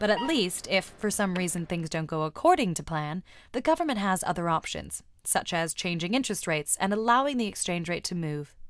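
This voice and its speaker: A woman with an American accent talks at a fairly quick pace in a medium pitch with lively intonation, an unremarkable speaking voice on a very clean recording with a silent background. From United States. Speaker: explainer video narrator. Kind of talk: scripted narration. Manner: clear, measured.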